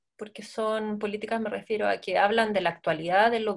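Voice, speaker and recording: At a moderate pace, a woman speaks in an ordinary speaking voice with a medium pitch and fairly even intonation. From Chile, Santiago. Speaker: dancer and choreographer. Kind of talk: interview.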